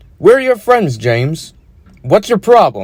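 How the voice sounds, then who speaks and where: A man puts on a high-pitched character voice full of very wide pitch swings. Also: moderate pace. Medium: read story.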